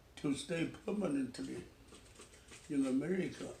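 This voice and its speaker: A man with a Chinese accent speaks very slowly with lively intonation, and audible room echo surrounds his voice. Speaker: retired pastor. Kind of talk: family interview, life story. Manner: halting.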